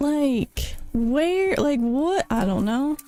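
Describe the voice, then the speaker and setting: Faint music sits in the background as a woman speaks with very wide pitch swings in a dry sound with no echo. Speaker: streamer. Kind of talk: casual chat. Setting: live stream. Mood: self-critical, amused. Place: home room. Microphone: studio mic.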